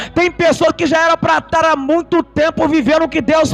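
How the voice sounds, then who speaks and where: Over noticeable background noise, a man speaks in an animated tone at an extremely high pitch. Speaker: preacher. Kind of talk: sermon.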